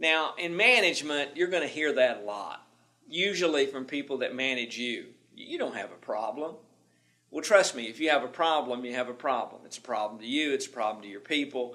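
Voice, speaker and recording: With a Southern accent, a man talks at a fairly quick pace and fairly high pitch, his tone bright and sharp, his intonation lively, his loudness swinging widely, amid audible room echo. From US South, Tennessee. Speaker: management instructor. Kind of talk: lecture. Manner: repetitive stammering.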